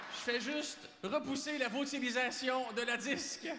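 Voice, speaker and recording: A man speaks in a raised, projected voice. Noticeable background noise can be heard behind him. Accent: Quebec. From Quebec. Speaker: comedian. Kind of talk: stand-up monologue as awards show host. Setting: live stage, audience.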